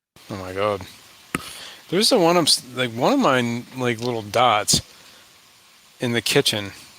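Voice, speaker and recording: A man with an American accent talks at a moderate pace and medium pitch, with ordinary pitch variation and long, frequent pauses. Noticeable background noise runs underneath. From northern US. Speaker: fish hobby livestream host. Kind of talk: casual chat. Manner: animated.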